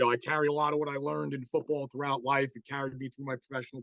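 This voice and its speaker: The voice carries a New York accent and sounds dry and close, with no echo. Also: man. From New York City. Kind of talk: online presentation. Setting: video call. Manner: casual, many fillers.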